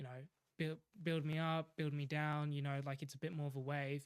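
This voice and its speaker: Recorded very cleanly against a silent background, a man with a fairly high pitch speaks in a monotone, flat intonation. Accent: Australian. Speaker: aspiring professional golfer. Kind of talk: casual interview chat. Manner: hesitant, many fillers.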